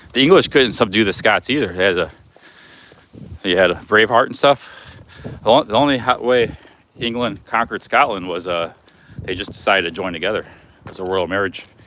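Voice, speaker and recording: With noticeable background noise behind him, a man speaks in a fairly low voice with ordinary pitch variation and long, frequent pauses. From United States. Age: 40s. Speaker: travel vlogger. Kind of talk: casual vlog talk.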